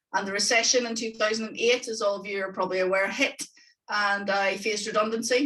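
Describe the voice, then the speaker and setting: A woman with a Northern Irish accent talks at a fairly quick pace. Her medium-pitched voice has a bright, sharp tone. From Northern Ireland. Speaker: economics tutor. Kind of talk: webinar presentation. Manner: enthusiastic.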